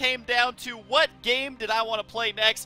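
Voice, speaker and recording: With music in the background, a man speaks in a raised, projected voice at an extremely high pitch, his tone energetic and excited, the sound dry and close with no echo. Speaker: gaming video commentator. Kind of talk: let's play gameplay commentary. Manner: energetic, excited.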